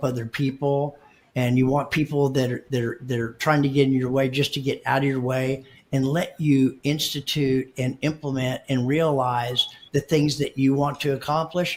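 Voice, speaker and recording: Somewhat breathy and fairly high-pitched, a man speaks at a moderate pace in a monotone, flat intonation. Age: 60s. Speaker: marketing company co-founder. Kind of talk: podcast interview. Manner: halting, many repeated words.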